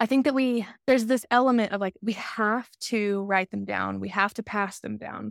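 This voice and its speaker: A woman with an American accent has an unremarkable speaking voice, fairly high in pitch, at a moderate pace. Her intonation is fairly even, and the recording is very clean with a silent background. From Alabama, US South. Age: 30s. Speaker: podcast co-host. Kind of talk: casual interview chat.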